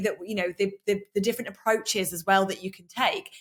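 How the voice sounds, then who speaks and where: A woman with an unremarkable speaking voice, medium in pitch, at a fairly quick pace. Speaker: sales coach and podcast host. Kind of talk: interview host.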